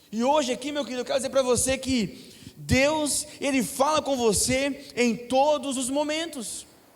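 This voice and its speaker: Speaking at a fairly slow pace, a man talks in an extremely high pitch with audible room echo around him. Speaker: preacher. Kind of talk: sermon.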